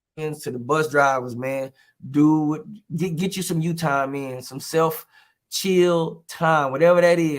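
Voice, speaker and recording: Music plays behind a man with an American accent. His fairly high voice moves fairly slowly with fairly even intonation. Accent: Texas twang, drawn out when relaxed. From Texas, Houston. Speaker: comedian and teacher. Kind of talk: casual interview chat. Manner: loud, outspoken.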